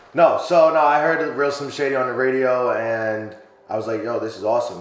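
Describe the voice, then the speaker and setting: A man with an American accent, audible room echo and noticeable background noise. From New York. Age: 30s. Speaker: rapper. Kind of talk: casual interview. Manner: hesitant, many fillers.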